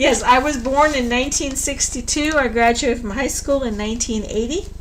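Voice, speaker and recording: A woman's high-pitched, fairly quick speech with ordinary pitch variation, plus audible room echo and noticeable background noise. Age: 60s. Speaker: tarot reader. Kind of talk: live stream tarot reading. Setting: live stream at home computer. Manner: blunt, straight-talking.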